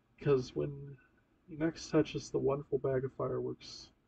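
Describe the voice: The passage is read out plainly. It is plain reading aloud.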